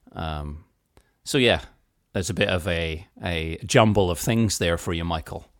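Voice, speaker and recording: On a very clean recording with a silent background, a man with a British accent and a very deep, low pitch speaks at a fairly slow pace with ordinary pitch variation. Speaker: podcast co-host. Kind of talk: casual chat.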